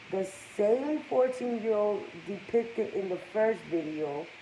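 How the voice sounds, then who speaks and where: A woman at a fairly slow pace with lively intonation, over noticeable background noise. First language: Spanish. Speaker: gossip vlogger. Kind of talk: casual commentary reading news aloud.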